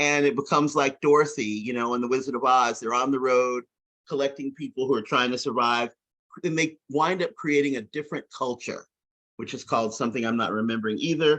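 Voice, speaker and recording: A man with an American accent uses an ordinary speaking voice, pitched fairly high with ordinary pitch variation. The background is quiet. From US South, rural. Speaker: science fiction discussion group member. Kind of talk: casual discussion. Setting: video call.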